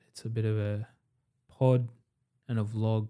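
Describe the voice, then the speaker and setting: A man's fairly low voice with a dark, mellow tone and ordinary pitch variation. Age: 20s. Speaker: entrepreneur. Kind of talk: casual chat.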